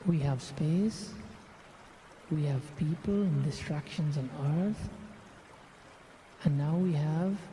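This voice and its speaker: Speaking at a very slow pace with fairly even intonation, the voice leaves long, frequent pauses. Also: man. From Guyana. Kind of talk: guided meditation.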